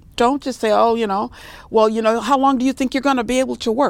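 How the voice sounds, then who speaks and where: A woman with an American accent. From Los Angeles, California. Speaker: gerontologist, senior care manager. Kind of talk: interview.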